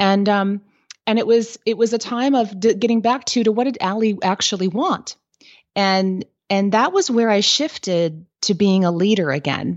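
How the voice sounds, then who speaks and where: At a moderate pace, a woman speaks in an ordinary speaking voice with medium pitch and ordinary pitch variation. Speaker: business coach and entrepreneur. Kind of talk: interview, casual professional chat.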